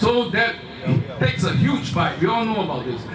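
A man with a Singaporean accent over loud background noise. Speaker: rally speaker. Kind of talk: rally speech, addressing a crowd with rhetorical appeals and a story. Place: stage.

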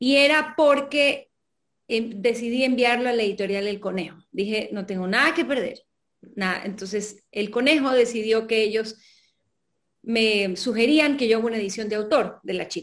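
The speaker keeps a moderate pace with ordinary pitch variation over a quiet background. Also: woman, fairly high pitch for a woman. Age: 40s. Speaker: novelist; guest. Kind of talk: interview. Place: home room.

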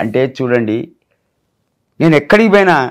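This man's voice sits at a fairly high pitch. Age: 60s. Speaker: viral meme personality. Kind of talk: interview. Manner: animated.

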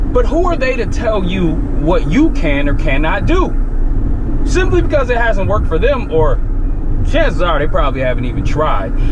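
Loud background noise fills the clip. Through it, a man speaks at a moderate pace. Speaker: gym vlogger. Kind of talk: angry rant. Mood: emphatic, motivational, irritated. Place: car. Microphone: phone near.

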